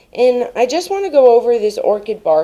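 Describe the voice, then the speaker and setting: A woman shouts at a high pitch with a dark, mellow tone. She goes at a fairly slow pace, her pitch swinging very widely. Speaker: home gardening vlogger. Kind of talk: casual vlog tutorial. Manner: loud, yelling; animated.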